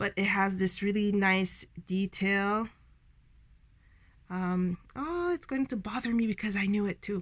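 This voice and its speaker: Speaking at a fairly slow pace with long, frequent pauses, a woman has a somewhat breathy, medium-pitched voice. Her loudness stays very even, and her pitch varies an ordinary amount. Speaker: tarot and oracle card reviewer. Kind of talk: casual product flip-through. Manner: halting, stumbling over words.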